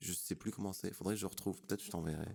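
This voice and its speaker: Pitch moves in an ordinary way. The voice has a dark, mellow tone. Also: man. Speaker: rapper. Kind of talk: interview. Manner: casual, hesitant with fillers.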